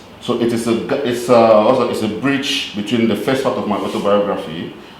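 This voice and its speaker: A man speaks at a medium pitch, with audible room echo and noticeable background noise. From Cameroon. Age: 40s. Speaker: poet. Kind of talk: storytelling; poetry reading.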